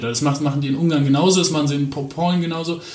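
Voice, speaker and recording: A man speaks in a monotone with flat intonation and a fairly high pitch. Noticeable background noise and audible room echo surround him. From Aachen, western Germany. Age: 20s. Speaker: politician. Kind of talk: interview.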